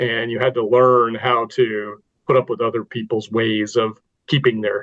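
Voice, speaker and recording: With an American accent, a man speaks at a medium pitch. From Texas. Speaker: navy veteran, nonprofit director. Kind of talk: interview podcast.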